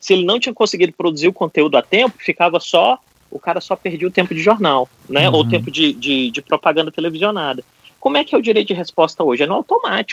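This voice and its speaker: At a very fast pace, a man with a high pitch speaks in lively intonation. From Brasília, Brazil. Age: 40s. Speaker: political risk consultant. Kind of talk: podcast discussion.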